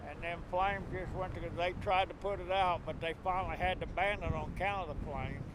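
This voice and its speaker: Monotone, flat delivery at a very fast pace with hardly any pauses, in audible room echo. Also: man, high pitch for a man. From southwest Kansas. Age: 70s. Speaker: farmer. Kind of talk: interview. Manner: halting.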